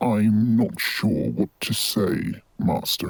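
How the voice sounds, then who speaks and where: A man growls in a put-on character voice at a medium pitch and a very slow pace. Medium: machinima. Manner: respectful, cautious.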